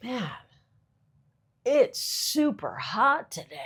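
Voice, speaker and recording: A put-on character voice, raspy throughout. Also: woman. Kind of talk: laid-back, casual.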